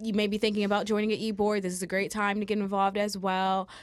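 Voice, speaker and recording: A woman speaks at a medium pitch in a very clean recording with a silent background. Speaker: student co-host. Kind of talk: casual chat. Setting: studio. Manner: giggly.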